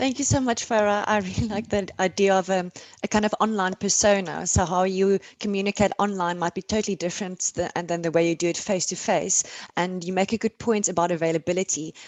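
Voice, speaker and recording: With a South African accent, a woman of medium pitch speaks at a very fast pace with fairly even intonation. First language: Afrikaans. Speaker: panel moderator. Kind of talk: panel discussion.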